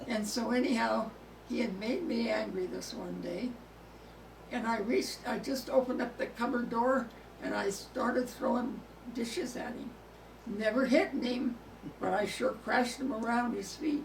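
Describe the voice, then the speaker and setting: With an American accent, a woman speaks at a fairly high pitch and moderate pace, using ordinary pitch variation and long, frequent pauses, amid noticeable background noise and audible room echo. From California. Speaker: oral history interviewee. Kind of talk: oral history interview. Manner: halting.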